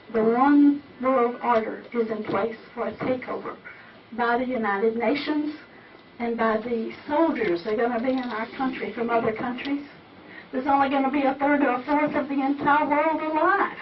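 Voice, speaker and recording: Pitched high with ordinary pitch variation, a woman talks at a moderate pace with an American accent. Audible room echo and noticeable background noise come through. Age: 70s. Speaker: audience member asking a question. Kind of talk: audience question at a talk.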